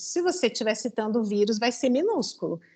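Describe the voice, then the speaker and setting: A woman speaks with very wide pitch swings. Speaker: thesis examiner. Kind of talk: academic feedback on a dissertation defense.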